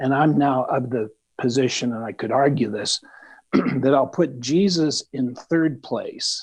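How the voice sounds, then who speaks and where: A man speaks at a fairly slow pace with medium pitch and ordinary pitch variation. It is an ordinary speaking voice. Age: 50s. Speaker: study group participant. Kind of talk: group discussion.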